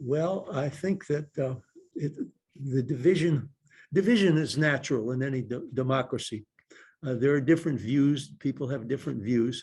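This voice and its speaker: A somewhat breathy man with a fairly high pitch. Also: ordinary pitch variation, moderate pace. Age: 80s+. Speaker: retired state supreme court justice and lawyer. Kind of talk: talk answering audience questions.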